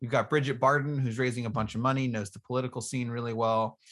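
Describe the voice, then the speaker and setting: Against a quiet background, a man with an unremarkable speaking voice talks at medium pitch with fairly even intonation. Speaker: podcast host and state house candidate. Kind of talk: casual interview.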